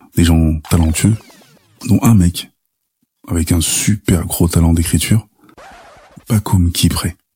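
A man's very deep, low voice at a fairly slow pace, with ordinary pitch variation, long and frequent pauses, very even loudness, and music in the background. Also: dry, close sound with no echo. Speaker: podcast narrator. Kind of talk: personal storytelling.

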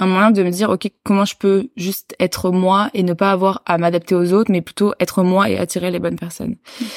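A woman with a normal speaking voice, medium pitch and fairly even intonation at a moderate pace, in a very clean recording with a silent background and a dry, close sound with no echo. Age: 20s. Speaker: public speaker and student. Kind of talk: casual interview chat.

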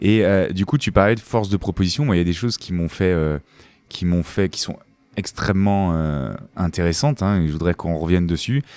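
A man with a very deep, low voice speaks at a fairly quick pace with ordinary pitch variation on a very clean recording with a silent background. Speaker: podcast host, dentist. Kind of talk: interview. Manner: smiling.

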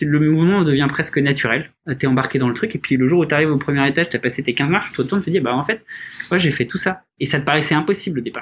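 Somewhat breathy, a man with a fairly high pitch talks at a very fast pace. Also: ordinary pitch variation. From Paris region, France. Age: 30s. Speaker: startup founder. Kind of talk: casual interview. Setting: studio, in person with masks.

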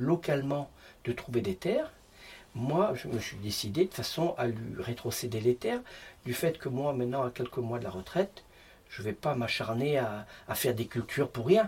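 A man at a medium pitch and moderate pace, ordinary pitch variation, a plain, everyday voice. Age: 50s. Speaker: stonemason. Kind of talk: casual interview.

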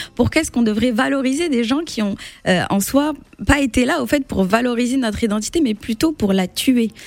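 Pitch swings very widely as a woman talks. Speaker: literature blogger. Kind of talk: radio interview. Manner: hesitant.

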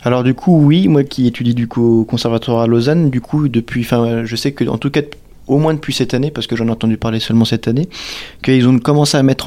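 Medium pitch from a man, dark and mellow in tone, with fairly even intonation. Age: 20s. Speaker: accordion student. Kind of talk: testimony.

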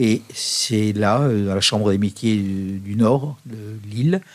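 A man's voice at medium pitch with ordinary pitch variation. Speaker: monk and puppeteer. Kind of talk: radio interview. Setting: studio. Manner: hesitant, many fillers.

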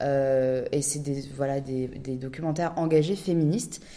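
A woman at a moderate pace with ordinary pitch variation, in audible room echo. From Paris, France. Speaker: documentary director and podcaster. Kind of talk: podcast interview.

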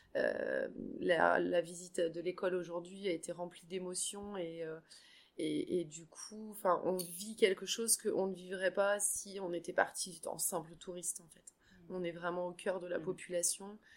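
A woman at medium pitch speaks fairly slowly in a monotone, flat intonation, her loudness swinging widely. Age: 40s. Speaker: trek participant, insurance agent. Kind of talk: casual interview. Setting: hotel. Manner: halting, repeats words.

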